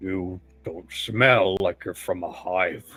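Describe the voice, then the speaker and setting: Over music in the background, a man puts on a growling, menacing character voice, very deep and low, with fairly even intonation at a very slow pace. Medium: actual play. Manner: suspicious, menacing.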